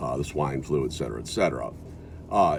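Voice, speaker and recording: There's audible room echo around this man's very deep, low voice with an American accent. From US Midwest (South Dakota). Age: 60s. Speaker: video blogger. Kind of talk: casual monologue. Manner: halting.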